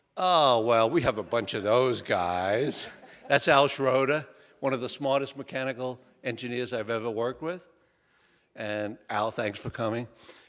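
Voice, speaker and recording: In a Bronx accent, a man talks at a medium pitch. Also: ordinary pitch variation, moderate pace. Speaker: structural engineer and author. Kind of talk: book talk to audience. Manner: short and to the point.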